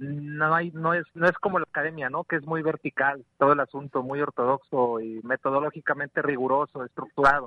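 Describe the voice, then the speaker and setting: A man talks at a fairly quick pace with hardly any pauses, in a normal speaking voice. His pitch is fairly high and his intonation fairly even. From rural western Mexico. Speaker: organic farmer and rural educator. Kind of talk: radio interview.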